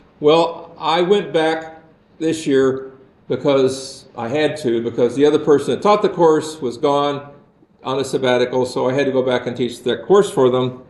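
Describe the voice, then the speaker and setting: Audible room echo surrounds a man talking at a moderate pace, pitched fairly high. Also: ordinary pitch variation. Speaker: university lecturer. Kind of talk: lecture. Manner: sarcastic.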